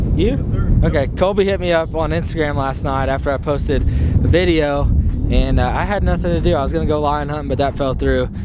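Over loud background noise, a man speaks at a fairly quick pace. The sound is dry, with no echo. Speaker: outdoor vlogger. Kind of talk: casual vlog chat. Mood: upbeat, a bit nervous. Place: open country. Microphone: phone near.

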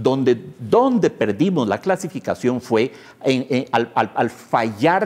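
Swinging very widely in pitch, a man speaks at a fairly slow pace. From Costa Rica, San José area; Costa Rica. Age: 50s. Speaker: pianist and writer; interviewee. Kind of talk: interview. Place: studio. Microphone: lapel.

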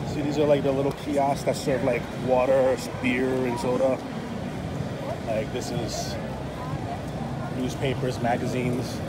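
A man at a fairly slow pace with long, frequent pauses over loud background noise. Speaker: travel vlogger. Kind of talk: casual vlog chat. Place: street. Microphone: phone near.

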